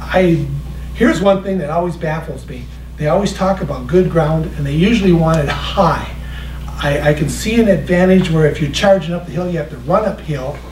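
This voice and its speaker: Moderate pace against noticeable background noise. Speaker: history presenter. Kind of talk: public talk. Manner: animated.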